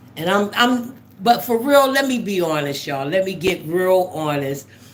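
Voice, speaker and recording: At a moderate pace, a woman with a medium pitch makes very wide pitch swings, with audible room echo around her. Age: 60s. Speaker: livestream host. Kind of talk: casual chat. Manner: animated.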